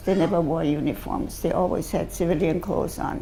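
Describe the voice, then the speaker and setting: There is audible room echo around a woman's fairly low, dark and mellow voice, which has vocal fry and ordinary pitch variation. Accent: German. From Austria, Vienna. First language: German. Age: 90s. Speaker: Holocaust-era survivor speaker. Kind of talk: testimony to school students. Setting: school assembly with students.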